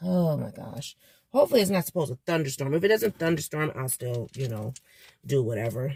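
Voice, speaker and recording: Somewhat breathy and very deep, low in pitch, a woman talks at a fairly quick pace with lively intonation, the sound dry and close with no echo. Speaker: vlogger. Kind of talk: casual vlog. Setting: in a car. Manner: casual, hesitant with fillers.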